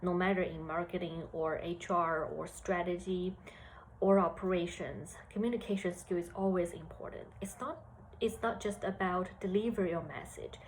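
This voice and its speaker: With a Chinese accent, a woman speaks at a medium pitch and a moderate pace, her voice somewhat breathy and her intonation fairly even. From China. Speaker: HR analyst. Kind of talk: career talk to students. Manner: hesitant with fillers.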